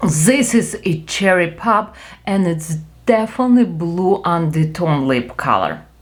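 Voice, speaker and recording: Speaking in a Ukrainian accent at a fairly slow pace, a woman uses lively intonation, her fairly low voice somewhat breathy. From Ukraine. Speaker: beauty vlogger. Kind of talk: product review. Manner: animated.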